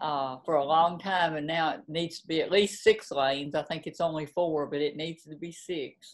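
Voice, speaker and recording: Speaking in a Southern US accent with hardly any pauses, a woman uses a very deep, low pitch and big swings in loudness. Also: fairly even intonation. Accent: Southern drawl. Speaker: novelist. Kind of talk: interview.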